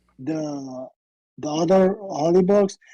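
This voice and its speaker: A woman speaks very slowly with a non-native accent, her pitch fairly low. Her tone is dark and mellow, with ordinary pitch variation. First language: Arabic. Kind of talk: debate. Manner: halting.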